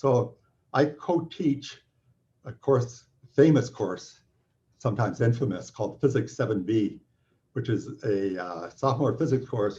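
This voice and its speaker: A man with a Canadian accent speaks at a fairly slow pace, leaving long, frequent pauses. His voice is somewhat breathy with a dark, mellow tone, medium pitch and ordinary pitch variation. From Canada. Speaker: physics professor. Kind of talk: welcome talk. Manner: halting.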